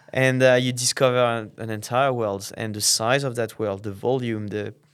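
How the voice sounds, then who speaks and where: A man with a French accent speaks in a medium-pitched, flat monotone at a moderate pace. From France, Normandy. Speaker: tech company founder. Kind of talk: podcast interview. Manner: halting, many fillers.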